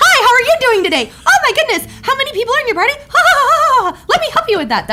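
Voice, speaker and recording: Over loud background noise, a woman in a put-on character voice talks at a very fast pace with hardly any pauses, her extremely high pitch making very wide swings, her loudness swinging widely and her tone cheerful. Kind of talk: polite, service-oriented. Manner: peppy, cheerful, laughing.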